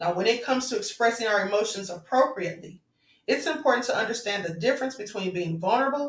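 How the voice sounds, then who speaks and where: Lively intonation marks this woman's somewhat breathy voice. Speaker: spiritual vlogger. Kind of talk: spiritual talk to viewers.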